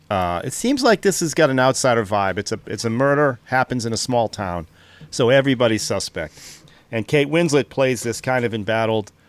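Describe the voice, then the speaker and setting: With a Boston accent, a man speaks at a fairly quick pace with ordinary pitch variation. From Boston, US. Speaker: podcast co-host. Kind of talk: casual chat.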